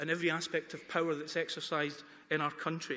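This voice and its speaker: A man speaks at a fairly quick pace with a slight Dundonian accent. His tone is bright and sharp. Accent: faint Dundonian Scottish. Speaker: campaign speaker. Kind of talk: debate speech. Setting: town hall with student audience.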